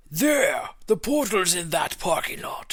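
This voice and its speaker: A man speaks in a put-on character voice, high-pitched and at a fairly slow pace. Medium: read story. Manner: formal.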